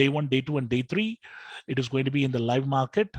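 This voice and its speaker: Somewhat breathy man with a South Indian accent and fairly high pitch, in a dry, close sound with no echo. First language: Telugu. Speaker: trading educator. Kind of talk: live webinar tutorial. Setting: live online session with screen share.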